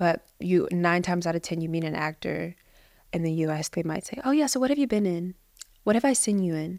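A woman with a strong Midwestern US accent speaks fairly quickly in an animated tone with lively intonation. Her pitch is fairly low, and the recording is very clean with a silent background. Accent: American Midwestern, fairly thick. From US Midwest, Cincinnati, Ohio. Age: 30s. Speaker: actress and business founder. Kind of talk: casual interview chat. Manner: animated, laughs often.

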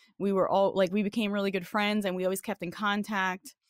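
A woman with a New York accent speaks at a medium pitch, the sound dry and close with no echo on a very clean recording with a silent background. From New York, the Bronx. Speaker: fighting game community member. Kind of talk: casual chat.

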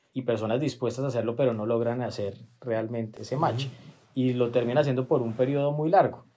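A man with a dark, mellow, medium-pitched voice talks at a fairly quick pace with fairly even intonation. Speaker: law firm partner and podcast host. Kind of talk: interview conversation. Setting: at guest's home. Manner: halting, with repeated words and fillers.

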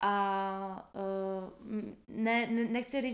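This woman speaks at a medium pitch. Her intonation is monotone and flat. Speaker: podcast host. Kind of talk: casual chat.

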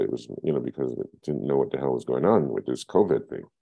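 With a New York accent, a man talks at a fairly quick pace. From Brooklyn, New York (East Flatbush). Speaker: filmmaker and photographer. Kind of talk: oral history interview. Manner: halting, many fillers and repetitions.

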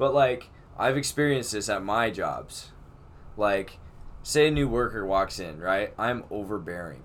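A man with an unremarkable speaking voice, medium pitch, ordinary pitch variation, and a moderate pace. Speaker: podcast host. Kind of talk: casual chat.

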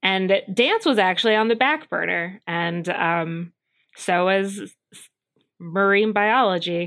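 A woman speaks at a fairly slow pace in a medium pitch. Hers is an ordinary speaking voice. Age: 30s. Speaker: mermaid instructor. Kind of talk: interview.

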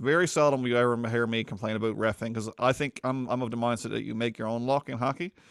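Speech comes very fast over a very clean recording with a silent background, the pitch varying in an ordinary way. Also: man, dry, close sound with no echo. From Newfoundland. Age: 30s. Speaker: podcast host. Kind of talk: casual chat.

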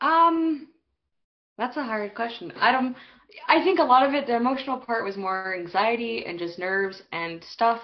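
In a Western Canadian accent, a woman talks at a moderate pace with a fairly high pitch that swings very widely. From Canada, Alberta (small town near Calgary). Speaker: recent emigrant. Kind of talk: casual chat.

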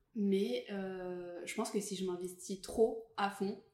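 Fairly even intonation carries a dark, mellow tone. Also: woman. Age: 20s. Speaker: podcast guest, creative professional. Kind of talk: casual chat.

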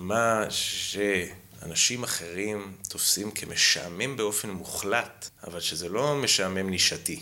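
Recorded with noticeable background noise and audible room echo, a man speaks at a fairly low pitch. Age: 30s. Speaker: history graduate student. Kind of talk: casual chat.

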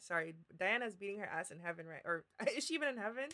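With lively intonation, a woman speaks at a medium pitch in a normal speaking voice. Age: 20s. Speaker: podcast co-host. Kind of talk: casual chat.

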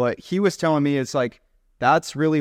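Male voice with ordinary pitch variation, dry and close with no echo, against a quiet background. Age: 20s. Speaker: video creator. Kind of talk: casual conversation. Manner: unstructured, rambling.

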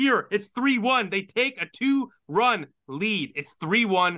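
Raised and projected, a man's high voice carries a bright, sharp tone and lively intonation at a fairly slow pace. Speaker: sports podcaster and hockey commentator. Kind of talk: sports commentary recap, casual analysis.

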